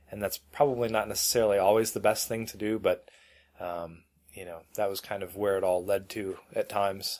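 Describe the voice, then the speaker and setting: With big swings in loudness, a man talks at a fairly quick pace in an unremarkable speaking voice with a fairly low pitch. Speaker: podcast co-host. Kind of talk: casual tech chat. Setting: remote call, recorded locally.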